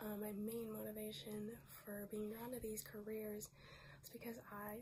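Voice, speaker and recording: With an unremarkable speaking voice, a woman talks at a moderate pace and a fairly high pitch. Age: 20s. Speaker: nurse. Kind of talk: grant application video, personal statement.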